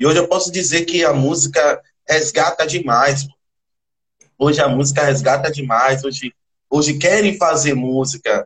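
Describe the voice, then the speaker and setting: The delivery comes at a moderate pace with fairly even intonation, very even loudness, and long, frequent pauses. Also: man, fairly high pitch for a man. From Salvador, Bahia, Brazil. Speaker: percussionist in a band. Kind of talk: interview. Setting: livestream.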